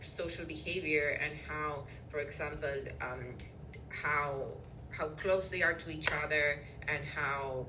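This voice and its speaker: With noticeable background noise and audible room echo, a woman speaks in a very deep, low voice. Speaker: neuroscience professor. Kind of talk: interview. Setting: podcast interview. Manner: hesitant, many fillers.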